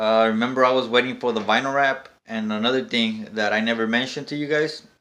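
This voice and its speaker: In a bright, sharp tone and a medium pitch, a man speaks at a fairly quick pace. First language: not English. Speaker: car rebuilding YouTuber. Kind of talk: casual vlog. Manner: halting with many fillers.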